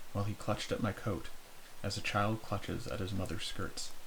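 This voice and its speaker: A man whispering, soft-spoken and somewhat breathy. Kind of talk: softly spoken horror story reading for ASMR. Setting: close-mic recording for headphones. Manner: soft-spoken, whispery.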